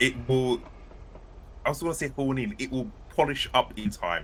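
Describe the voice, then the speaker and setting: Here a man with a British accent speaks at a moderate pace. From United Kingdom. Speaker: author and podcast co-host. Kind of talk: casual chat. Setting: live stream.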